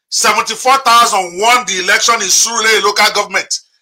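The man's pitch is extremely high. He uses a raised, projected voice. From Nigeria. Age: 50s. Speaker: podcast host and moderator. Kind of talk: interview and impassioned commentary. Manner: animated.

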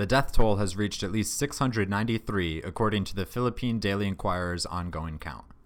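A man with an ordinary speaking voice and fairly low pitch talks at a moderate pace with hardly any pauses and ordinary pitch variation. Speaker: podcast host. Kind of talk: casual podcast chat.

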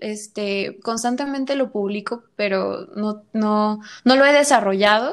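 With a Mexican accent, a woman speaks at a fairly slow pace in a very clean recording with a silent background. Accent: Mexican Spanish (Jalisco). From Mexico, Guadalajara. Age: 20s. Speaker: actress and visual artist. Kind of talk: interview.

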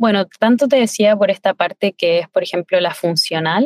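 A woman with an ordinary speaking voice talks at a moderate pace with fairly even intonation, the sound dry and close with no echo. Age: 20s. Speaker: chef. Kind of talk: interview.

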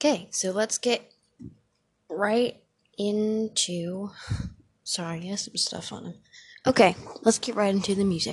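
A woman speaks at a fairly slow pace, leaving long, frequent pauses. Her voice is somewhat breathy. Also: medium pitch for a woman, ordinary pitch variation, big swings in loudness. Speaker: podcast host. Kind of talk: casual solo podcast chat. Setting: home recording with dog and fans running. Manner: rambling, giggly, self-deprecating.

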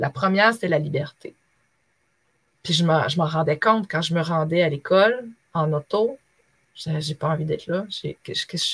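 A somewhat breathy woman at a fairly low pitch, fairly slow in pace, with long, frequent pauses and a dry, close sound with no echo. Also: ordinary pitch variation. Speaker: former teacher, online trainer. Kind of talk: interview.

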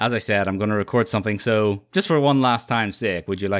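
Heard in a very clean recording with a silent background, a man uses a plain, everyday voice, fairly low in pitch, with ordinary pitch variation. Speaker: podcast host. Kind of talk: casual chat. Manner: chatty, laughs often.

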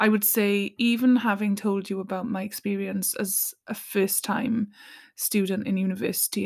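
A woman's somewhat breathy voice at a medium pitch, moderate in pace, with monotone, flat intonation. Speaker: podcast host, singer and mental health practitioner. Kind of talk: solo monologue, personal reflection.

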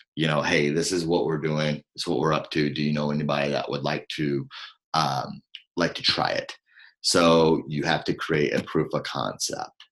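Very deep, low-pitched male voice with vocal fry, monotone, flat intonation and a moderate pace. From southern Illinois. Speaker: company founder and CEO. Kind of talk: interview.

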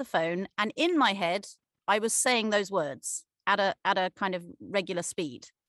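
A woman's voice is heard against a quiet background, with a dry, close sound and no echo. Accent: English. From Cornwall, England. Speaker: actor. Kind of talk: interview. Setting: video call.

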